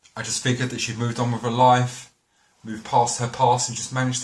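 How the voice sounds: Over a hushed backdrop, someone reads in a natural voice.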